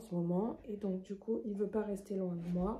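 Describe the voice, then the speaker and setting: A woman speaks at a fairly slow pace with medium pitch. Her intonation stays fairly even. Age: 20s. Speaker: knitting vlogger. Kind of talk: casual vlog presentation. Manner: hesitant, many fillers.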